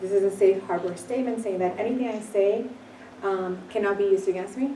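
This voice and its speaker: Very fast speech from a woman with fairly even intonation, audible room echo and noticeable background noise. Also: medium pitch for a woman. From Puerto Rico. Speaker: company founder. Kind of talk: business presentation.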